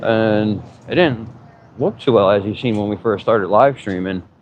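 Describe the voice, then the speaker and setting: A man with an American accent speaks at a moderate pace and a fairly low pitch, with ordinary pitch variation, over noticeable background noise. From Pennsylvania, Harrisburg. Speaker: vlogger. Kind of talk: casual live-stream vlog. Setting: outdoors riding an e-bike.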